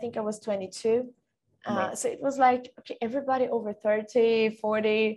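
At a fairly slow pace, a woman with a Portuguese accent speaks at a fairly high pitch with fairly even intonation. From Brazil, Bragança Paulista then Sweden from age nine. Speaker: football industry professional. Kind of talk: interview. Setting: video call.

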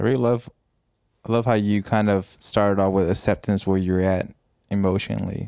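A man's dark, mellow voice at a fairly low pitch, fairly quick in pace, with monotone, flat intonation and very even loudness. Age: 20s. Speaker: podcast host. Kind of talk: casual chat.

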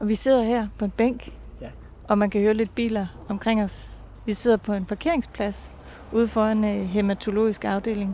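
At a moderate pace, a woman talks in a plain, everyday voice at medium pitch with fairly even intonation. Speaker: podcast producer and interviewer. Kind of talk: interview and narration. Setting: outdoors on a bench.

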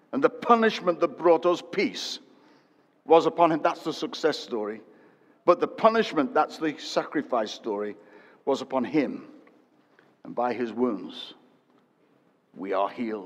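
A man speaks at a fairly slow pace with long, frequent pauses and big swings in loudness. His fairly high pitch swings very widely, with vocal fry. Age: 60s. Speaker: preacher. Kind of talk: sermon. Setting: church with congregation.

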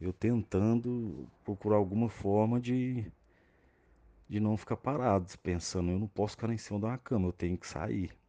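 Over a quiet background, a man talks in a fairly low voice with a dark, mellow tone and ordinary pitch variation. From Brazil, Minas Gerais (Araxá). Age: 30s. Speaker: paraplegic handbike athlete. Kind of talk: interview.

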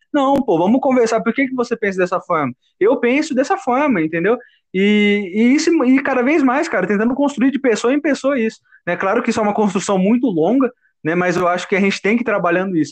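A man with an extremely high pitch speaks at a fairly quick pace, his intonation lively and his loudness very even. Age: 20s. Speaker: civil engineering student. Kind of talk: casual chat.

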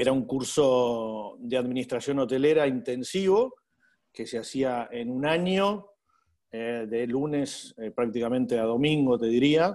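A man speaks at medium pitch with a Uruguayan accent. His pace is fairly slow, and his pitch varies in an ordinary way. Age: 40s. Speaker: hotel manager. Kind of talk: interview.

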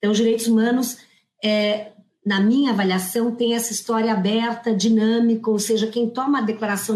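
A somewhat breathy woman speaks at a fairly high pitch. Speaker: human rights law professor. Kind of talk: panel discussion.

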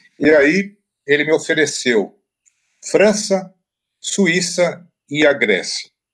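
A man speaks very slowly in a high voice, with long, frequent pauses. His pitch shows ordinary variation. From Brazil, interior of Paraná. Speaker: writing teacher and author. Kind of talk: interview. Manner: hesitant, with frequent filler repetitions.

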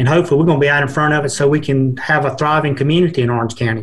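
In an American accent, a man speaks with a fairly high, somewhat breathy voice and fairly even intonation. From Georgia, US. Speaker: broadband program manager. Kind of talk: casual chat.

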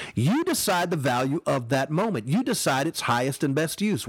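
A man speaks in an energetic, enthusiastic tone. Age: 40s. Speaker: bishop and motivational podcast host. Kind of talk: motivational preaching monologue.

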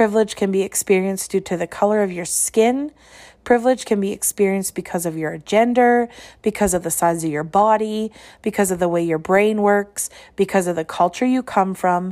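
A woman with a Canadian Prairie accent talks at a fairly quick pace, medium pitch and ordinary pitch variation, her tone dark and mellow on a very clean recording with a silent background. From Saskatchewan, Canada (small towns). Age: 30s. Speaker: education podcaster. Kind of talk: personal reflective monologue.

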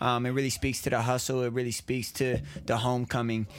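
This man has an ordinary speaking voice at medium pitch. He keeps a moderate pace and fairly even intonation. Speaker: podcast co-host. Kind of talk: casual chat. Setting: studio.

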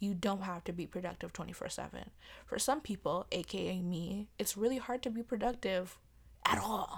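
With vocal fry, a woman speaks at medium pitch and a moderate pace with ordinary pitch variation. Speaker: podcast host. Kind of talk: casual monologue. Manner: hesitant, many fillers.

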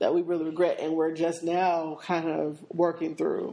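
In an American accent, a woman speaks at a fairly slow pace with a fairly low pitch and a dark, mellow tone. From Seattle. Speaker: podcast co-host. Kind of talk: casual chat.

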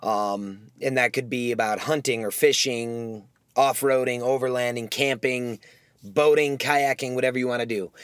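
Someone with an American accent talks at a moderate pace on a very clean recording with a silent background. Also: man, medium pitch for a man. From US Midwest. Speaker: podcast host. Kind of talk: casual solo monologue. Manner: rambling with many fillers.

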